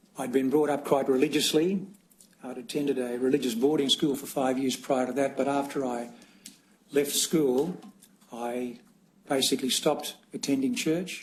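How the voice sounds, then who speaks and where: With an Australian accent, a man speaks at a moderate pace in a fairly high pitch, using fairly even intonation and long, frequent pauses. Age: 60s. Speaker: church elder testifying as witness. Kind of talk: testimony. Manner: halting.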